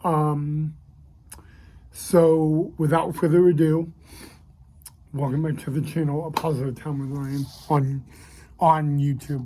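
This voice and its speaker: Speaking very slowly with long, frequent pauses, a man uses a flat, monotone delivery in a fairly high voice with a dark, mellow, somewhat breathy tone. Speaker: YouTube vlogger. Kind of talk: personal vlog monologue. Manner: halting, many fillers and repetitions.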